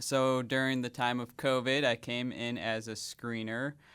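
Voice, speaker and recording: A man with a slight Wisconsin accent talks at a fairly slow pace. His medium pitch stays monotone, with flat intonation. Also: very clean recording, silent background. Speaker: hospital volunteer services director. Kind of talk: radio interview.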